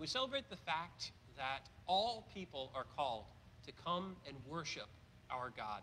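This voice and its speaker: A man's bright, sharp voice at a moderate pace, with very wide pitch swings and light background noise. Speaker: priest celebrating Mass. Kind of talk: liturgical address and prayer. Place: church.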